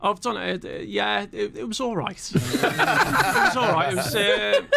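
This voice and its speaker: There is noticeable background noise behind this man. He talks at a fairly slow pace. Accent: Scouse. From Liverpool, England (Aintree, later Formby). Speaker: motivational guest, former Marine and pilot. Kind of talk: radio interview. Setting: radio studio. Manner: halting, many fillers.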